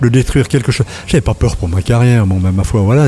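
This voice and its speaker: Very fast and somewhat breathy, a man speaks in a dark, mellow tone with ordinary pitch variation. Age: 60s. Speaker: retired journalist. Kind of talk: casual interview chat. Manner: hesitant, many repetitions.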